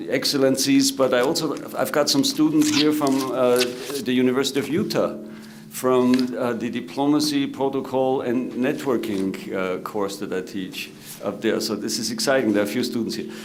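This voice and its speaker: Moderate pace and ordinary pitch variation in an Austrian accent, with noticeable background noise and audible room echo. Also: man, medium pitch for a man. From Austria, Salzburg. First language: German. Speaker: government protocol director and moderator. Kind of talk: conference panel moderation. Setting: conference room with audience. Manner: halting, many filler words.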